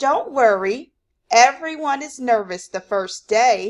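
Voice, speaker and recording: A woman puts on a character voice with a high pitch at a fairly slow pace. The recording is very clean, with a silent background. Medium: read story. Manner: bustling, gushing.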